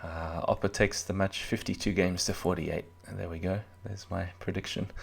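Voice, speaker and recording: A soft-spoken, somewhat breathy man with a very deep, low pitch, monotone and flat, at a fairly quick pace, on a very clean recording with a silent background. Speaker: chess commentator. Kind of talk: live commentary.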